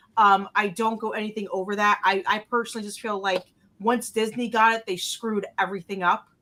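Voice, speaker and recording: A bright, sharp tone in a New Jersey accent, with monotone, flat intonation. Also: woman, fairly high pitch for a woman, fairly quick pace. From North Jersey, US. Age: 30s. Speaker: podcast panelist. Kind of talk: casual chat.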